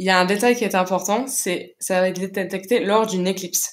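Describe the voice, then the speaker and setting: The speaker talks with a Belgian accent and fairly even intonation. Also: woman. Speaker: science history lecturer. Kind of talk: live Q&A answers.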